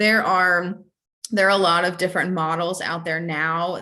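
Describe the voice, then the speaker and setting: Audible room echo surrounds a woman whose bright, sharp tone moves at a moderate pace in a monotone, flat intonation. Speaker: licensed counselor presenting a training webinar. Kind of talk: webinar training lecture. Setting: online webinar with chat. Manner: halting, many fillers and repetitions.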